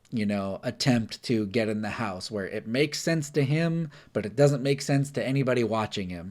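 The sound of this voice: The speaker reads in an unforced reading voice.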